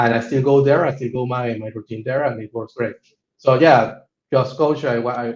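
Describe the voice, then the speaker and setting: This man speaks at a medium pitch and a moderate pace, sounding somewhat breathy, with fairly even intonation. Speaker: coaching client, type 1 diabetic. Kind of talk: testimonial interview. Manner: halting, many repetitions and fillers.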